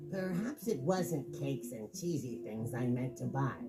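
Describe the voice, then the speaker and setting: A man's put-on character voice at medium pitch and a moderate pace, under loud background noise. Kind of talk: children's story reading. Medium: read story. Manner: cheerful, friendly.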